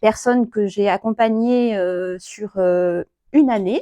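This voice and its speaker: Recorded with a dry, close sound, no echo and a quiet background, a woman speaks at medium pitch in a dark, mellow tone with ordinary pitch variation. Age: 40s. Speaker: psycho-energy therapist. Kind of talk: self-presentation talk. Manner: hesitant, many fillers.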